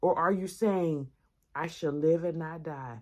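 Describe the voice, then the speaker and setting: Dark and mellow in tone, a woman speaks at a moderate pace with ordinary pitch variation. The recording is very clean with a silent background. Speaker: podcast host. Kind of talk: inspirational talk. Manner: occasional stuttering.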